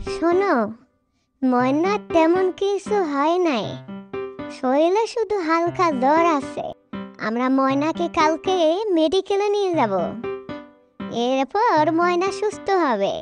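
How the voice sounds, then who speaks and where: This cartoonish character voice sits at an extremely high pitch and moves at a very slow pace. Faint music plays in the background. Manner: gentle, reassuring.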